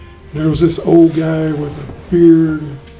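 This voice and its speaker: A fairly slow pace against noticeable background noise. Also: man. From Kentucky. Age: 80s+. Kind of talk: interview answer. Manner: tires easily.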